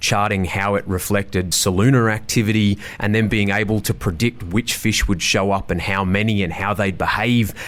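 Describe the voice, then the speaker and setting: The speaker is a man with an Australian accent. He keeps a moderate pace. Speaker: reef and rainforest tour guide. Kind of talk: casual interview chat. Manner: loud; animated.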